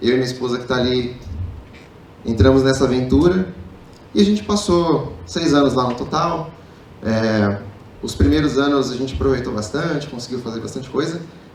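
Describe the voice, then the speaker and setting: The speaker has lively intonation, a moderate pace and long, frequent pauses, with audible room echo. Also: man, medium pitch for a man. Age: 30s. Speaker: public speaker, marketing executive. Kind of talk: motivational talk. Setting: stage with audience.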